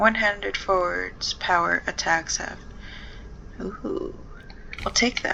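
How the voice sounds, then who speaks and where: Over noticeable background noise, a quiet woman talks at a very slow pace with long, frequent pauses. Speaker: gaming video creator. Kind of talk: gameplay commentary. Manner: quiet and pensive.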